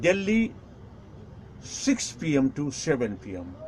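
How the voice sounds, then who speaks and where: A man with a Nepali accent. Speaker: Buddhist teacher. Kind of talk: lecture. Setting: live stream.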